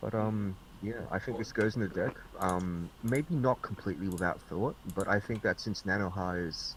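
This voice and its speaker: This man has an Australian accent and a fairly low voice. He speaks at a moderate pace with ordinary pitch variation. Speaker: card game reviewer. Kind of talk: casual group discussion. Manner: sarcastic.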